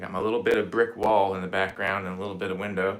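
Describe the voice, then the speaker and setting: A man with a very deep, low pitch speaks in a relaxed tone, with audible room echo. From Indiana, US Midwest. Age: 40s. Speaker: guitarist. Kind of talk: casual chat. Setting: home livestream. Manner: relaxed, halting with fillers.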